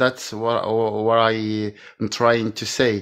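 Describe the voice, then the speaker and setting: In a strong French accent, a man speaks at a very slow pace with a medium pitch. The background is quiet. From France. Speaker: caller. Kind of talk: casual chat. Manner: halting. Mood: earnest, appreciative. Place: home room. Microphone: video call.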